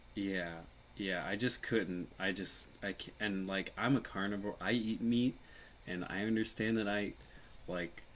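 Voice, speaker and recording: A man with an American accent speaks at a fairly slow pace. His pitch is fairly low and his intonation fairly even. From Illinois, later US South (Mississippi/Tennessee from age 14). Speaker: chef and livestreamer. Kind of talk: casual livestream chat. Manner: halting, many restarts and fillers.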